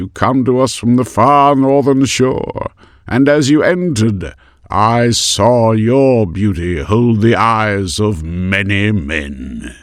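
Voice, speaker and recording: A man puts on a character voice that is resonant and medium in pitch. He speaks at a very slow pace over a quiet background. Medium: read story. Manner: grave, serious, authoritative.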